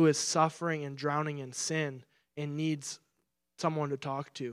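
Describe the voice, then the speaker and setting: A man at a fairly high pitch with a Midwestern American accent, monotone and flat in intonation, at a moderate pace on a very clean recording with a silent background. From Michigan. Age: 20s. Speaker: pastoral resident. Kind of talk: sermon. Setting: church.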